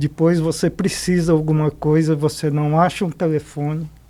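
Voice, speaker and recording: A man's fairly high voice with a dark, mellow tone at a moderate pace. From Paraná, Brazil (Paranavaí). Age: 70s. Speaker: business leader and credit cooperative chairman. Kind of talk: interview podcast conversation.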